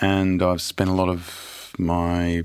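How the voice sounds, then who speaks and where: In an Australian accent, a man talks with a very deep, low pitch. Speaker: history professor. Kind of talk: reading aloud; interview. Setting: studio.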